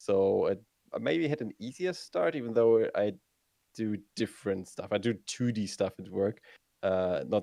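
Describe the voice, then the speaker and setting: A man's fairly low, dark, mellow voice with a German accent, at a fairly slow pace with ordinary pitch variation. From northern Germany, Hamburg. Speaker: video game streamer. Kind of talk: interview. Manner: halting, many fillers.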